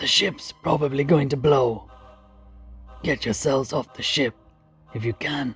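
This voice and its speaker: A man does a raspy, put-on character voice at medium pitch, with long, frequent pauses. Faint music plays in the background. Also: moderate pace, ordinary pitch variation. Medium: solo performance. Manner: blunt, terse.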